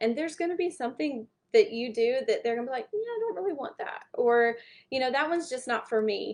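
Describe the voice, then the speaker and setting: With a Southern US accent, a woman speaks with lively intonation against a quiet background. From US South. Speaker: small business branding speaker. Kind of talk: online workshop talk. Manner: casual, conversational.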